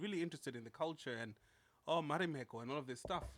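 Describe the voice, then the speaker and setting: A man talks at a very fast pace in a Zimbabwean accent. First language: Shona. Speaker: podcast co-host. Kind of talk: casual chat.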